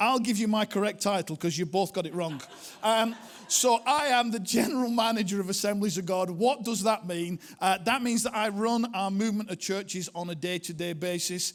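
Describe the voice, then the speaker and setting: High-pitched for a man, he speaks at a fairly quick pace with a strong Lancashire accent. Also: ordinary pitch variation. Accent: strong northern English (Bolton). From northern England, Bolton area. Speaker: pastor, church movement leader. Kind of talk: sermon. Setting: church with audience.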